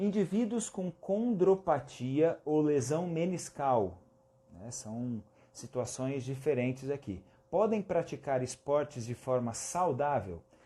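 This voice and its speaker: A somewhat breathy man with a fairly high pitch, a dark, mellow tone, very wide pitch swings and a very slow pace. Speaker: physiotherapy teacher. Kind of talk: live-stream lecture. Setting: Instagram live stream.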